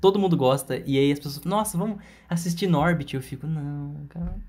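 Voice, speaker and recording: At a fairly quick pace, a man talks in a fairly high, somewhat breathy voice. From Minas Gerais, Brazil. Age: 20s. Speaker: podcast co-host. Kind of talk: casual chat. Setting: home during quarantine.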